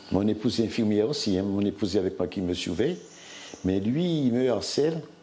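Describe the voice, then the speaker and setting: A man with a fairly low pitch and a dark, mellow tone speaks at a fairly quick pace with lively intonation. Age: 60s. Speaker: hospital worker and former covid patient. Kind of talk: testimony. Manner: halting.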